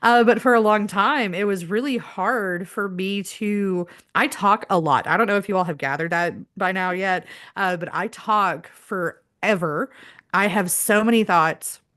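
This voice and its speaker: Against a quiet background, a woman at a medium pitch speaks at a fairly slow pace with ordinary pitch variation in an ordinary speaking voice. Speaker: spiritual healing live stream host. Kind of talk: casual chat. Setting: live stream.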